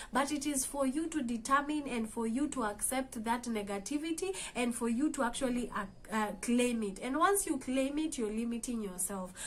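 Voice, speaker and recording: With a Kenyan accent, a woman speaks at a high pitch and a moderate pace with lively intonation. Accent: Kenyan English, Kamba. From Kenya, Kamba. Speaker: motivational vlogger. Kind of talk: motivational talk. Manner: hesitant, with fillers.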